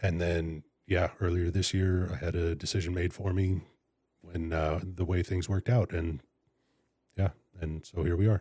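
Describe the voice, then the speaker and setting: A man with an American accent speaks in a very deep, low voice with a dark, mellow tone, somewhat breathy and with fairly even intonation. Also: very clean recording, silent background. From California (Fresno). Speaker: public defender and county attorney candidate. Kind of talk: interview. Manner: halting.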